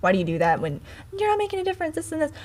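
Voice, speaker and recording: Very wide pitch swings in a woman's somewhat breathy voice. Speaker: social media video creator. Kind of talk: casual chat. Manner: fast.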